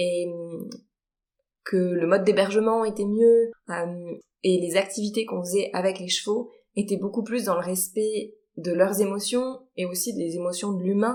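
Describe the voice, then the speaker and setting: A woman at medium pitch, dark and mellow in tone, fairly even in intonation, with long, frequent pauses. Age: 30s. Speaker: horse trainer. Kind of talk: podcast interview.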